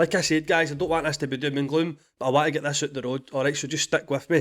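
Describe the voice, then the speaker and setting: Recorded very cleanly against a silent background, a man with a fairly high pitch and a Scottish accent speaks with fairly even intonation. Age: 30s. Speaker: podcast host. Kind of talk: personal monologue. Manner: halting.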